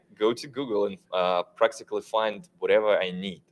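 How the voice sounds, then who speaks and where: At a moderate pace, a man with a non-native accent speaks in very wide pitch swings. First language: not English. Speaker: tech panelist. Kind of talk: panel discussion. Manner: halting.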